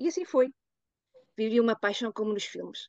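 This woman speaks at a fairly quick pace in a fairly high pitch, recorded with a dry, close sound and no echo. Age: 50s. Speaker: activist and association founder. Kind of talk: reading aloud.

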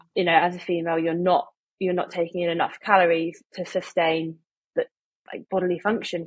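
A woman speaks with an English accent at a fairly low pitch in a monotone, flat intonation. The sound is dry and close with no echo. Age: 20s. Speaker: medical student. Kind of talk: casual chat.

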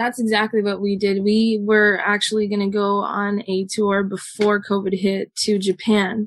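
In a Southern California accent, the speaker keeps a moderate pace and monotone, flat intonation, with hardly any pauses. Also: woman, medium pitch for a woman. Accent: Southern Californian English. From Southern California, Los Angeles area. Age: 20s. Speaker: musician in a band. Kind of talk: casual interview chat.

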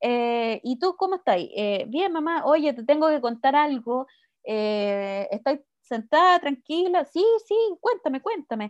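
Against a quiet background with a dry, close sound and no echo, a woman with a high pitch and a Chilean accent speaks fairly slowly with lively intonation. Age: 30s. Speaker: podcast co-host. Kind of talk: casual chat.

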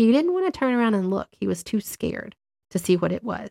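A woman talks in a normal speaking voice at medium pitch. The pace is moderate, and the sound is dry and close with no echo. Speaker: podcast host and tarot reader. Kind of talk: ghost story telling, hushed and suspenseful spooky narration. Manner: warm and conversational.

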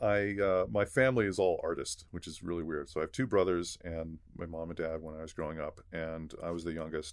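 A man with a Californian accent, very deep and low in pitch, with ordinary pitch variation at a moderate pace. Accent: Californian American. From Los Angeles, San Gabriel Valley. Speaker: visual effects supervisor. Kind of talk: casual chat.

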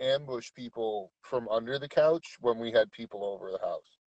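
A man's plain, everyday voice at a moderate pace, with ordinary pitch variation and a dry, close sound with no echo. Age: 30s. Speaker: co-host of live stream. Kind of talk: casual chat. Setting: in a truck on phone.

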